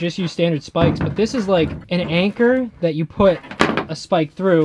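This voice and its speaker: Loud background noise surrounds a man talking at a moderate pace with ordinary pitch variation. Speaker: DIY vlogger. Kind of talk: casual vlog chat. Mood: joking, playful. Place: open country. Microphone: phone near.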